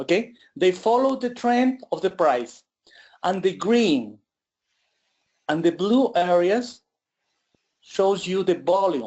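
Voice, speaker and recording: Someone speaks very slowly with a Spanish accent, leaving long, frequent pauses. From Ecuador. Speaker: trader presenting an indicator. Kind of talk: webinar presentation. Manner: halting.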